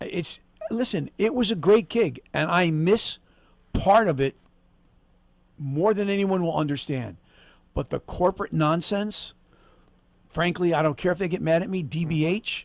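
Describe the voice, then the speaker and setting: A man's high voice with ordinary pitch variation and long, frequent pauses. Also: moderate pace. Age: 60s. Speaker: former stadium announcer. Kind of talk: casual chat.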